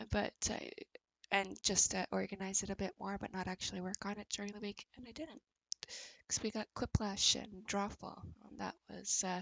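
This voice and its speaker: Soft-spoken at a moderate pace, a woman with a medium pitch and fairly even intonation shows vocal fry and big swings in loudness. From Canada, Ontario (born in Montreal). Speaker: livestreamer. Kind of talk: casual chat.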